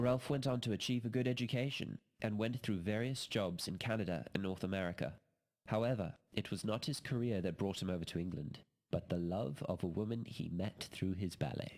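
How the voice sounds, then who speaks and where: A man with a plain, everyday voice speaks at a fairly quick pace with a fairly low pitch, ordinary pitch variation and very even loudness. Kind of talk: documentary narration.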